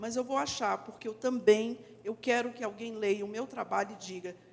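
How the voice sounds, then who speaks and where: A woman uses an ordinary speaking voice at a moderate pace, with a fairly high pitch and ordinary pitch variation. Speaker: actress and teacher. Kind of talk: panel discussion.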